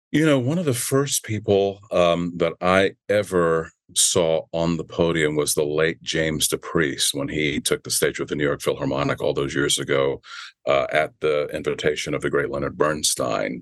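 Here a man with an American accent talks at a moderate pace. The sound is dry and close, with no echo. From Virginia, US. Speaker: orchestra conductor and bassoonist. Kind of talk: interview.

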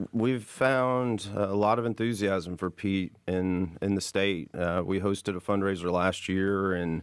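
In an unremarkable speaking voice, a man speaks fairly slowly at a fairly low pitch, with hardly any pauses, very even loudness and fairly even intonation. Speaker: state legislator. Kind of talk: political panel discussion. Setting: studio.

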